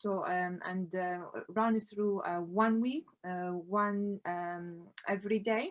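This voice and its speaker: A woman at a medium pitch, very slow, with fairly even intonation. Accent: Arabic. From Iraq. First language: Arabic. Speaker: collage artist, founder of a women's art group. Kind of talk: conference presentation. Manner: halting, many fillers.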